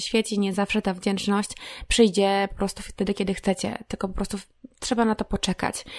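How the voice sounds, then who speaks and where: Very cleanly recorded against a silent background, a woman talks at a fairly quick pace. Her medium-pitched voice stays monotone and flat. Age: 30s. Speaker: podcast host. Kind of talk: solo reflective monologue. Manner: casual, conversational.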